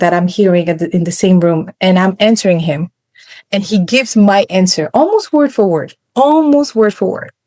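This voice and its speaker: Her pitch is medium. This woman has a non-native accent. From West Africa. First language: not English. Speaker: programmatic media buyer. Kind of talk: podcast interview. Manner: casual, halting with self-corrections.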